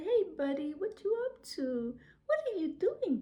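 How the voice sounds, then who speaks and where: A woman's put-on character voice, extremely high and fairly slow, with very wide pitch swings. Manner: friendly, soothing.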